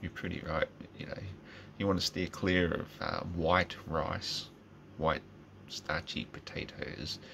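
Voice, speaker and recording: Over light background noise, a man with a very deep, low voice talks at a fairly slow pace, leaving long, frequent pauses. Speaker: vlogger. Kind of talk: casual vlog rant. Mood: opinionated, informal, swearing. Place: home room. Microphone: phone near.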